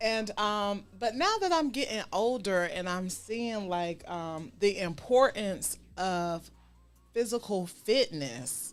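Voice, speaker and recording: Very slow speech with lively intonation over music in the background. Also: woman, medium pitch for a woman. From US South, Savannah, Georgia. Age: 40s. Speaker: talk show host. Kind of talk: casual chat.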